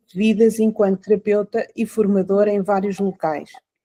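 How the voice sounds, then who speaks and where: In a European Portuguese accent, a woman talks at a moderate pace with a fairly high pitch and a dark, mellow tone. The sound is dry and close, with no echo. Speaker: podcast host. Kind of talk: interview. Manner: hesitant, many fillers.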